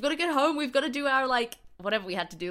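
A woman talks with an Australian accent. Her tone is bright and sharp, and her intonation lively. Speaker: comedian. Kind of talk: casual chat.

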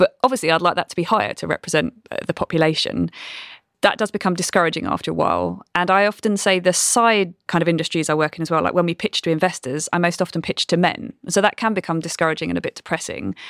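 A woman with vocal fry speaks very fast at a fairly low pitch with ordinary pitch variation, in a dry, close sound with no echo. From Brighton, southern England. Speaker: COO of a quantum computing company. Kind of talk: casual interview chat.

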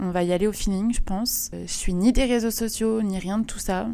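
Her voice has a dark, mellow tone as a woman speaks with fairly even intonation. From western France (Vendée). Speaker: podcaster. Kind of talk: casual monologue. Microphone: new microphone.

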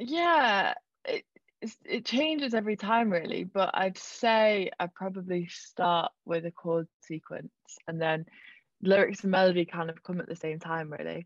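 A woman speaks in a normal speaking voice at a medium pitch and a fairly slow pace, with ordinary pitch variation. The background is quiet, and the sound is dry and close with no echo. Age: 20s. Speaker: singer-songwriter. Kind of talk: casual chat.

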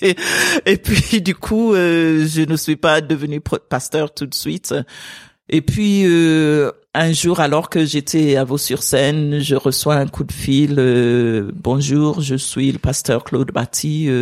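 Speaking very slowly with an English accent, a woman with a very deep, low pitch shows ordinary pitch variation, the sound dry and close with no echo. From Sierra Leone. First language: English (speaking French). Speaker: pastor. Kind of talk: interview conversation. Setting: at her home.

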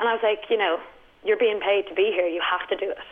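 Amid noticeable background noise, a woman speaks at a very fast pace. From Dublin, Ireland. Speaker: comedian. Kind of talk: casual chat, telling stories about bad gigs.

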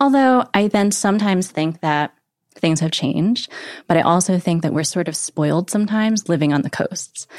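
A woman has a normal speaking voice at a medium pitch. She speaks at a moderate pace with lively intonation. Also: very clean recording, silent background. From US Northeast, Connecticut. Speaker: magazine editor-in-chief. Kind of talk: interview.

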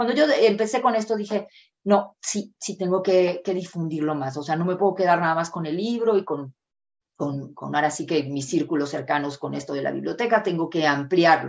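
With an unremarkable speaking voice, a woman talks at a moderate pace. Her pitch is fairly low and her intonation lively. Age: 50s. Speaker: author and reading educator. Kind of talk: interview.

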